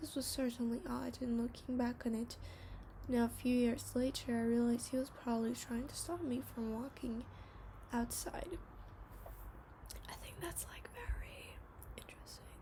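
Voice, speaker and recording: Whispering and soft-spoken, a woman leaves long, frequent pauses over noticeable background noise. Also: moderate pace. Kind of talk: ASMR horror story reading. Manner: whispered and soft-spoken.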